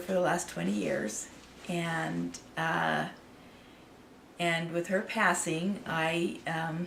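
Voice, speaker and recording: Speaking at a very slow pace with a fairly low pitch, a woman with an American accent is heard with audible room echo. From Idaho, US. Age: 60s. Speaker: artist and channel owner. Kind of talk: personal story to camera. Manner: halting, many fillers.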